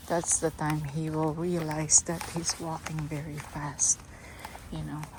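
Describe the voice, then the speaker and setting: A woman with a non-native accent speaks at a fairly slow pace. Her pitch is very deep and low, and there is noticeable background noise. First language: not English. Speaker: dog owner vlogger. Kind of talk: casual vlog talk while walking. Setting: outdoors walking dogs.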